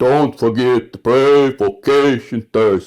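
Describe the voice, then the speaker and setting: A put-on character voice from a man, medium in pitch, at a fairly slow pace with fairly even intonation. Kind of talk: announcement.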